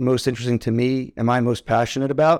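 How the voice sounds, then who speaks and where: In a very clean recording with a silent background, a man with an ordinary speaking voice talks at a fairly quick pace and medium pitch. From New York, Westchester. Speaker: healthcare executive and former soldier. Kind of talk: interview.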